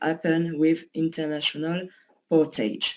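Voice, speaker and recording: Speech comes at a very slow pace in a strong French accent. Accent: pronounced French. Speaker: company associate presenting a service. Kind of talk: online presentation. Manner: hesitant, many fillers.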